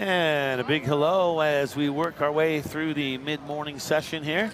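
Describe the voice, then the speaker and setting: Music plays in the background while a man talks at a fairly slow pace. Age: 60s. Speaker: sports commentator. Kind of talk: live sports commentary. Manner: conversational.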